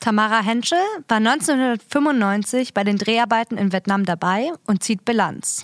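A woman speaks in a normal speaking voice at a fairly slow pace, her pitch fairly high with ordinary variation. Her loudness stays very even, and the sound is dry and close with no echo. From Berlin. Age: 20s. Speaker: community radio presenter. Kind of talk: scripted narration. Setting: studio.

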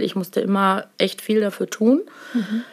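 A woman speaks at a fairly slow pace with an unremarkable speaking voice. Her intonation stays fairly even. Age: 50s. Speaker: nurse. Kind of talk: casual interview. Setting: office.

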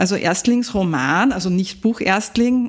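Speaking at a fairly slow pace, a woman uses a plain, everyday voice with a fairly high pitch and ordinary pitch variation. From Upper Austria. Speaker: podcast host. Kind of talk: interview.

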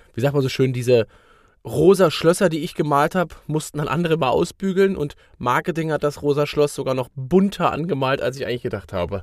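A man's fairly high voice, fairly quick in pace and lively in intonation. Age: 30s. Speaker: sales consultant and podcast co-host. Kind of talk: casual chat. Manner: hesitant with many fillers.

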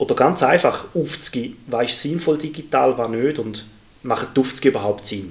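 A man speaks at a moderate pace in a normal speaking voice. His pitch is medium and his intonation lively. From Switzerland, Thurgau. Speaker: primary school teacher, podcast co-host. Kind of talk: casual chat.

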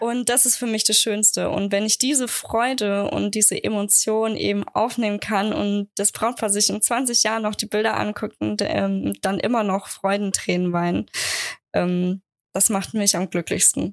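A woman talks in a normal speaking voice at medium pitch and a fairly slow pace. Her intonation is fairly even, and the sound is dry and close with no echo. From Germany, Aschaffenburg (Lower Franconia). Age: 20s. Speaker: wedding photographer. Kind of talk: interview, casual chat.

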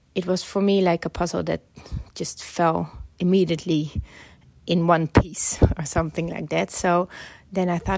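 A woman with a Dutch accent speaks at a fairly low pitch. Her pace is moderate. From Netherlands. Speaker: filmmaker. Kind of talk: interview.

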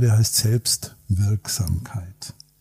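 A man with an unremarkable speaking voice, medium in pitch, with fairly even intonation. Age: 60s. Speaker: psychologist and executive coach. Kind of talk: casual chat. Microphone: poor sound quality in first episode.

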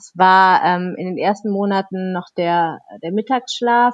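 With ordinary pitch variation around a medium pitch, a woman talks in an ordinary speaking voice. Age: 30s. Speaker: children's book author. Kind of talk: interview conversation.

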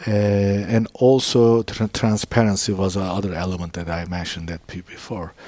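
With hardly any pauses, a man talks at a moderate pace and a fairly low pitch, his intonation fairly even. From Istanbul, Turkey. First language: Turkish. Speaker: business founder. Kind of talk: interview. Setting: in his store. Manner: halting.

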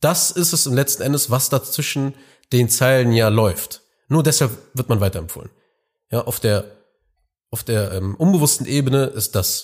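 In a very clean recording with a silent background, a man speaks at a moderate pace, somewhat breathy. His medium pitch shows ordinary variation, broken by long, frequent pauses. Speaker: business podcast host and consultant. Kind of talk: solo monologue podcast.

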